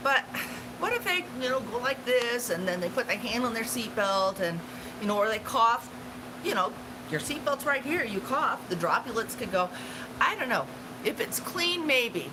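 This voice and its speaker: Long, frequent pauses and very wide pitch swings over noticeable background noise. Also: woman, high pitch for a woman, moderate pace. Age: 60s. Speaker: travel channel livestream host. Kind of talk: casual livestream chat. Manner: halting, many fillers.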